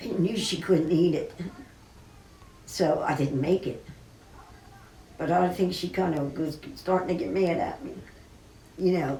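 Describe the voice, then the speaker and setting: A woman with an American accent speaks at a fairly low pitch with ordinary pitch variation and long, frequent pauses. Noticeable background noise and audible room echo fill the recording. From US West, Burbank, California. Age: 70s. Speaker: cooking show host. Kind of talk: personal remembrance monologue. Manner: emotional, halting.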